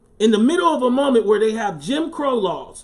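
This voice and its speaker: A man with an American accent swings his pitch very widely. Noticeable background noise is present. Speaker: attorney and political commentator. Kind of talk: political commentary livestream.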